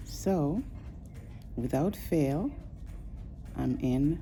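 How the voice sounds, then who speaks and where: A woman is speaking. Music plays in the background, and there is audible room echo. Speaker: lifestyle vlogger. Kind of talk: casual vlog talk to camera. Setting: orthopedic urgent care clinic. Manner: soft-spoken.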